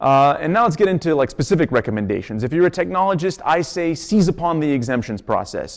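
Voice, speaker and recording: A man with a fairly high pitch talks at a very fast pace with hardly any pauses. His intonation is lively. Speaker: law student presenter. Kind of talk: lecture.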